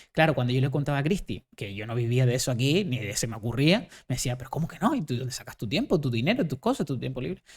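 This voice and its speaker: Animated and somewhat breathy, a man talks at a very fast pace at a medium pitch, with ordinary pitch variation. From Canary Islands, Gran Canaria. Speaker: charity mountain runner. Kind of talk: interview storytelling.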